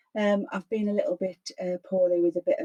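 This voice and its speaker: A woman speaks at a moderate pace and medium pitch, her voice somewhat breathy. The sound is dry and close, with no echo. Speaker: crafting YouTuber. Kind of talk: crafting tutorial. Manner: hesitant, many fillers.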